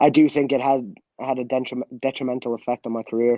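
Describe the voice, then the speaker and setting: Using a dark, mellow tone and monotone, flat intonation, a man of medium pitch speaks at a moderate pace in a dry, close sound with no echo. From Canada, Scottish family. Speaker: former professional footballer. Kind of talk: interview.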